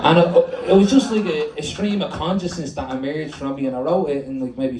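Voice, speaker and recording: A very fast, animated man in a Dublin accent, lively intonation, audible room echo and noticeable background noise. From Dublin, Ireland. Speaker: performance poet. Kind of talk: poetry performance. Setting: stage with audience.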